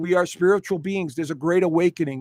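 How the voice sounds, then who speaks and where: At a very fast pace, a man with a high voice speaks with ordinary pitch variation, in a dry, close sound with no echo. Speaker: astrologer. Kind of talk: live stream presentation. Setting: live stream.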